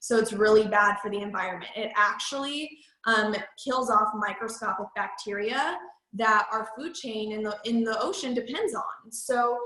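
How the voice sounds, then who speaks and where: Pitched fairly high, a woman talks at a moderate pace with fairly even intonation and audible room echo. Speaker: MLM sales trainer. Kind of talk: training presentation.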